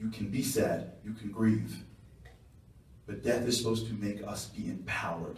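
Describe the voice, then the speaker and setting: A man with a fairly low voice and a Long Island accent speaks amid noticeable background noise and audible room echo. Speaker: guest speaker. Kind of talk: speech. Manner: fast.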